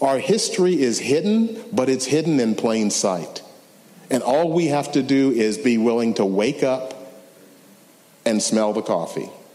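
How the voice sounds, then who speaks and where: A man speaks with an American accent at a medium pitch and a fairly slow pace, his pitch swinging very widely. His loudness stays very even, with audible room echo and noticeable background noise. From US South, Memphis, Tennessee. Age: 60s. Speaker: civil rights lawyer. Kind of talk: lecture.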